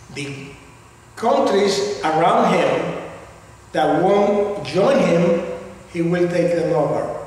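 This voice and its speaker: With audible room echo and noticeable background noise, a man speaks very slowly in a high pitch, using ordinary pitch variation and long, frequent pauses. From Cuba. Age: 70s. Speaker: political commentator. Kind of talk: political speech. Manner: earnest.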